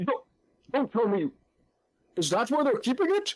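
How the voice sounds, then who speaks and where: A put-on character voice, high-pitched with very wide pitch swings, at a moderate pace. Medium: actual play. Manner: hearty, effusive.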